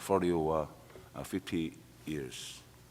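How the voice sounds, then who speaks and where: A man speaks at a very slow pace. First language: Korean. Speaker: retired military officer, conference panelist. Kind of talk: panel discussion. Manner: halting.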